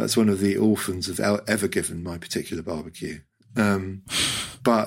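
In a British accent, a man with a fairly low pitch speaks at a moderate pace on a very clean recording with a silent background. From Hong Kong. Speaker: writer. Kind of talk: casual chat.

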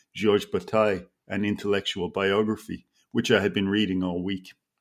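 A man with an Irish accent talks at a fairly quick pace with a fairly low pitch and fairly even intonation. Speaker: author. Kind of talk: casual literary interview chat. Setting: video call from home.

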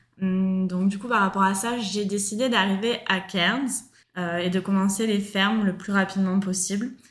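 A somewhat breathy voice in a monotone, flat intonation. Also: woman, medium pitch for a woman. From France, Marseille. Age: 30s. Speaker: backpacker, former fruit picker. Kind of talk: casual interview.

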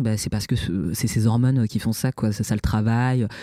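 A dark, mellow tone comes through with a dry, close sound that has no echo, on a very clean recording with a silent background. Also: man. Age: 30s. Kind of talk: interview testimony. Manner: halting, many repetitions and hesitations.

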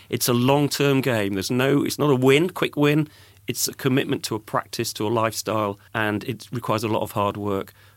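A man with an English accent speaks at a medium pitch and a fairly quick pace. The recording is very clean, with a silent background. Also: ordinary pitch variation. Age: 50s. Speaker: podcast host and music industry veteran. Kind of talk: casual interview.

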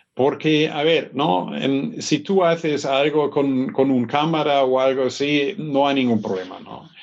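A man with a German accent speaks at a fairly slow pace in a fairly high pitch, with hardly any pauses. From northern Germany, north of Hamburg. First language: German (speaking Spanish). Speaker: business school professor. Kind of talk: interview. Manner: hesitant, frequent fillers.

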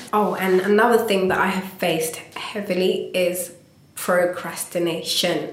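A woman of medium pitch speaks fairly slowly in a monotone, flat intonation, with noticeable background noise and audible room echo. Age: 20s. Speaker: visual artist. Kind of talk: interview. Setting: meeting room in London.

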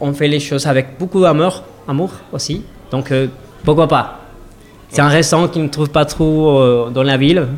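Speaking at a moderate pace in a Spanish accent, the voice has ordinary pitch variation and long, frequent pauses. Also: man, fairly high pitch for a man. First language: Spanish (speaking French). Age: 30s. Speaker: restaurant owner. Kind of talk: interview. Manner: halting.

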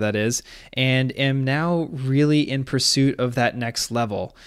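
A man with an unremarkable speaking voice, medium pitch and fairly even intonation, on a very clean recording with a silent background. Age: 30s. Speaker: podcast host and real estate agent, former Olympic rower. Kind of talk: solo podcast monologue.

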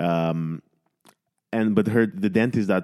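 A man with a Romanian accent and fairly even intonation. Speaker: podcast host and comedian. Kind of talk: casual chat.

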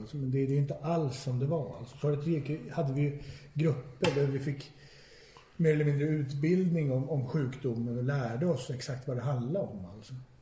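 A man speaks at a fairly high pitch with fairly even intonation. Room echo is audible. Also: moderate pace. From Stockholm, Sweden. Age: 40s. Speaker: recovering addict. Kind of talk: personal testimony. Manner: halting, repetitive.

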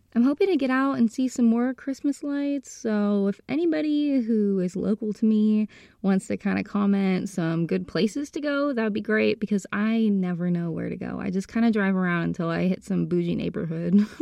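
Barely pausing, a woman talks at a moderate pace and medium pitch with lively intonation. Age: 20s. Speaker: podcast host. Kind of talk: casual solo monologue.

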